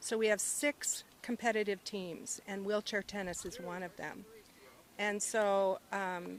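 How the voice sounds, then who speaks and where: A woman with a Midwestern American accent speaks in a medium-pitched voice. Her pace is fairly slow and her intonation fairly even. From US Midwest, small-town Iowa. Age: 60s. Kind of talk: casual interview. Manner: hesitant, many fillers.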